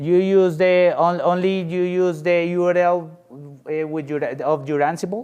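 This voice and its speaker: This man speaks at a fairly high pitch. He has a Spanish accent. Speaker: software engineer presenter. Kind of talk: conference Q&A. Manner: halting.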